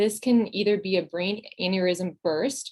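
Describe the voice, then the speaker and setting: A woman speaks in an ordinary speaking voice at a medium pitch. Her pitch varies in an ordinary way. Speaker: psychology postdoctoral fellow presenting webinar. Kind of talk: webinar lecture.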